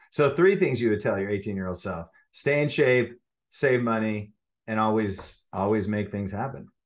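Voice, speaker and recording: Here a man with an ordinary speaking voice and fairly low pitch talks at a moderate pace. His pitch variation is ordinary, and the background is quiet. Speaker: podcast host, agency CEO. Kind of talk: interview.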